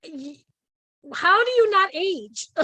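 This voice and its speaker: Her voice raised and projected, a woman speaks with a bright, sharp tone. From Hawaii. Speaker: talk show host. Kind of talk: casual interview chat.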